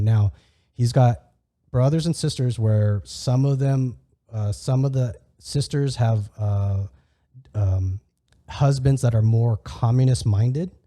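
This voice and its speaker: A man with a medium pitch and a dark, mellow tone speaks with ordinary pitch variation. His voice is somewhat breathy, in a very clean recording with a silent background. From California, US. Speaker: podcast host. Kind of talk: casual conversational interview. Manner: halting, many false starts and repeats.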